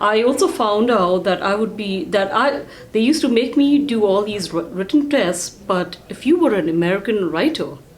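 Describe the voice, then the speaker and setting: A woman talks at a moderate pace with hardly any pauses and very wide pitch swings. Noticeable background noise and audible room echo surround her. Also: medium pitch for a woman. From India. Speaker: real estate team CEO. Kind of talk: casual interview chat.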